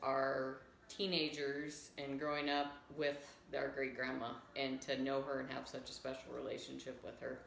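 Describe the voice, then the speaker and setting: A woman's very deep, low voice, flat and monotone at a fairly slow pace, with noticeable background noise and audible room echo. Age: 30s. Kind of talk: family tribute testimony.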